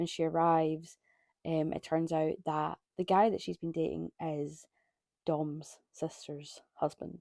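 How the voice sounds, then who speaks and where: In a Scottish accent, a woman speaks very slowly in a very deep, low voice with a dark, mellow tone and monotone, flat intonation, recorded dry and close with no echo. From Scotland. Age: 20s. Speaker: book reviewer. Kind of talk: casual monologue. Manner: casual with many fillers.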